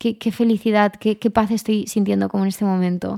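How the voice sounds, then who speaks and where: Speaking at a moderate pace with fairly even intonation, a woman has a normal speaking voice in a dry, close sound with no echo, on a very clean recording with a silent background. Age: 20s. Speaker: lifestyle podcaster. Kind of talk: casual monologue.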